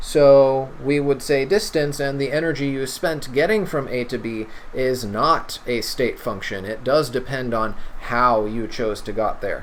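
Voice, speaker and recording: Noticeable background noise and audible room echo surround the clip. A man speaks at a fairly slow pace. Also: medium pitch for a man, ordinary pitch variation. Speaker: chemistry tutor. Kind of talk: lecture.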